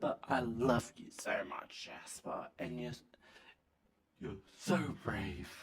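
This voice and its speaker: Using a put-on character voice that is raspy, a man speaks at a medium pitch and a very slow pace with long, frequent pauses and big swings in loudness. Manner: slurred, sentimental.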